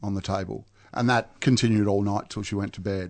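Ordinary pitch variation from a man speaking in an Australian accent. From Melbourne, Australia. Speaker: recovering alcoholic. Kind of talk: testimony. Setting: studio. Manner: halting.

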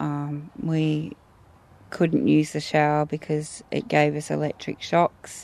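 This woman's voice sits very deep and low, with an Australian accent. She talks at a very slow pace with ordinary pitch variation. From Australia, Geelong, Victoria. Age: 40s. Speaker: community activist. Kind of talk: recorded interview.

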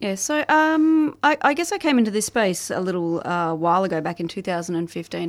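The woman has an Australian accent. Her recording is very clean and the background is silent. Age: 40s. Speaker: family violence survivor advocate. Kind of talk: interview.

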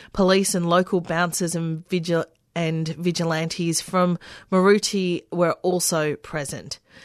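Against a quiet background, the speaker talks at a fairly slow pace in a monotone, flat intonation with a dry, close sound and no echo. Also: woman, fairly low pitch for a woman. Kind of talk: formal radio newsreading of labour stories. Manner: measured, steady newsreader delivery.

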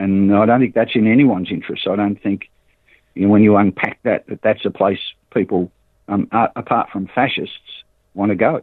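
Speaking fairly quickly but with long, frequent pauses, a man with an Australian accent keeps a fairly low pitch and fairly even intonation. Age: 60s. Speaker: cooperative organiser. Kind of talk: interview. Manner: halting, repeats words.

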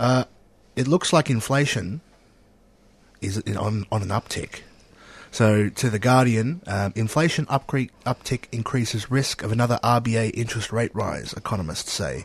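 In an Australian accent, a man speaks at a medium pitch and a fairly slow pace, somewhat breathy, with ordinary pitch variation and a dry, close sound with no echo. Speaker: radio host. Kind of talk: casual radio chat. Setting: studio.

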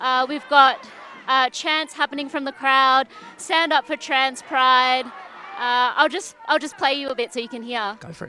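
A woman with a high voice speaks at a fairly slow pace in a raised, projected voice. Her loudness swings widely. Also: ordinary pitch variation. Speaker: radio reporter. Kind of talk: live field report. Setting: outdoors at a march. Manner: halting, many fillers.

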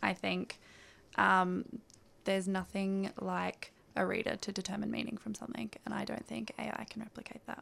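Moderate pacing carries the speech. It comes with an Australian accent. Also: woman. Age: 20s. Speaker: writer and editor. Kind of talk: interview. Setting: radio studio.

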